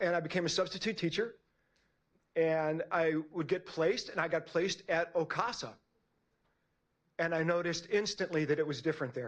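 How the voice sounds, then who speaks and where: A high-pitched man's voice at a fairly quick pace. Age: 60s. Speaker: public commenter, martial arts instructor and school staff. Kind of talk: public comment at board meeting. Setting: public board meeting.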